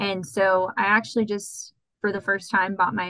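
A woman speaks at a moderate pace with a medium pitch and an American accent. Her tone is bright and sharp, with vocal fry. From Texas, San Antonio. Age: 20s. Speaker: graduate student, aquatic biologist. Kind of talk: interview, casual chat.

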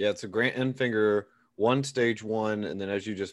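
A man talks in an unremarkable speaking voice, fairly low in pitch, with fairly even intonation. His pace is fairly quick against a quiet background. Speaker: podcast host. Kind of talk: casual podcast chat.

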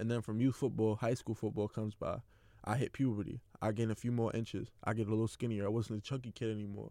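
Talking very fast in a New York accent, a man keeps a monotone, flat delivery at a medium pitch, his tone dark and mellow. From New York City (Queens). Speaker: athlete podcaster. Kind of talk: personal monologue.

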